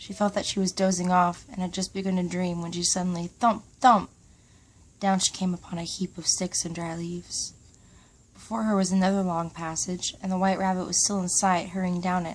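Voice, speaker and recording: Soft-spoken and medium in pitch, a woman talks at a fairly quick pace in a monotone, flat delivery on a very clean recording with a silent background. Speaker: ASMR reader. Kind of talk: bedtime story reading.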